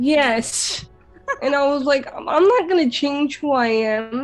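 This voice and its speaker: Over music in the background, a woman talks at a fairly slow pace in a high pitch with ordinary pitch variation. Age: 20s. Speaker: radio presenter. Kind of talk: interview answer.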